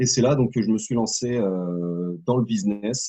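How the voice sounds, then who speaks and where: At a fairly slow pace, a man speaks in a medium pitch with ordinary variation in his pitch. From Normandy, France. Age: 30s. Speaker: network marketer, former soldier. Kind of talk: interview. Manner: hesitant, many fillers.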